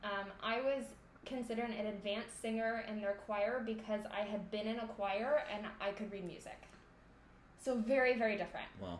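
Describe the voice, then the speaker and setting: A woman with a fairly high pitch speaks at a moderate pace in a monotone, flat intonation, with audible room echo. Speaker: voice graduate student and singer. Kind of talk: casual interview.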